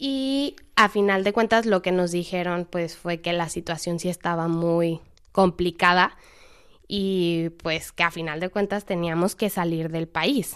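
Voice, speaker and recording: A plain, everyday voice speaks at a fairly slow pace with ordinary pitch variation. The recording is very clean with a silent background. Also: woman, fairly low pitch for a woman. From Mexico, Irapuato. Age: 20s. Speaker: volunteer. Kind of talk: interview testimony.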